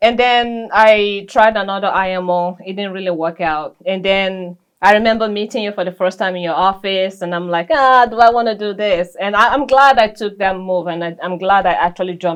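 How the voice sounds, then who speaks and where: A woman's medium-pitched voice with a non-native accent, a fairly quick pace, hardly any pauses, ordinary pitch variation, and big swings in loudness. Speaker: licensed insurance agent. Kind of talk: interview testimony.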